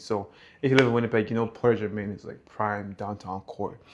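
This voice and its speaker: A man with a normal speaking voice, fairly low in pitch, at a fairly quick pace with fairly even intonation, over a quiet background. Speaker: vlogger. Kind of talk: apartment tour vlog. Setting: outdoors on building terrace. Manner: casual.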